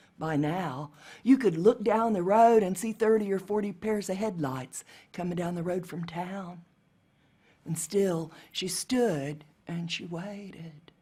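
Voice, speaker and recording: The voice is somewhat breathy with a dark, mellow tone and an American accent. It moves at a fairly slow pace with ordinary pitch variation. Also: woman, medium pitch for a woman. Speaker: storyteller. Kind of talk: storytelling performance.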